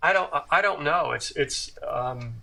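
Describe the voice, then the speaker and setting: With an American accent, a man speaks fairly slowly at a fairly high pitch with a bright, sharp tone. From US South, Tuscaloosa, Alabama. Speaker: career drummer. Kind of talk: interview. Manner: halting, many repetitions and fillers.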